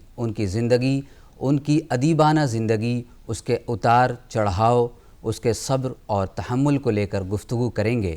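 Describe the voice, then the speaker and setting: This man has a plain, everyday voice at a medium pitch. His pitch varies in an ordinary way. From Punjab, India (Amritsar). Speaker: TV talk show host. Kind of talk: literary TV interview. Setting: studio. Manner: formal.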